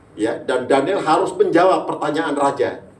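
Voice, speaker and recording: A man with a Javanese accent speaks at a fairly slow pace, with audible room echo and noticeable background noise. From Manado, North Sulawesi. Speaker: pastor. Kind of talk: sermon. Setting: church. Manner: animated.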